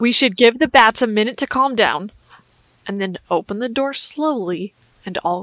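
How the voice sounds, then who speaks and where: A woman at a moderate pace. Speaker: tabletop game player. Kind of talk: casual role-play chat.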